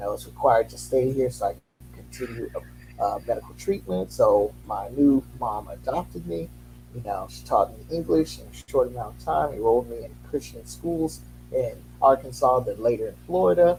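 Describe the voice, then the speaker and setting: A man with a very deep, low voice and a dark, mellow tone speaks at a moderate pace, somewhat breathy, his pitch swinging very widely and his loudness rising and falling sharply. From Haiti. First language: Haitian Creole. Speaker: educator. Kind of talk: interview.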